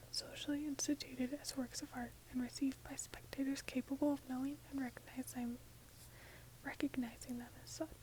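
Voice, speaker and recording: Soft-spoken, this voice moves at a fairly quick pace. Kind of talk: ASMR book reading.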